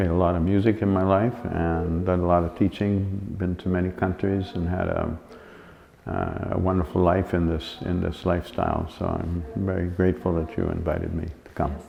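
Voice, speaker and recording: A man speaks with a very deep, low pitch and a relaxed tone. His intonation is fairly even, and there is noticeable background noise. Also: moderate pace. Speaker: musician and sound yoga teacher. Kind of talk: interview answer. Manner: relaxed, hesitant.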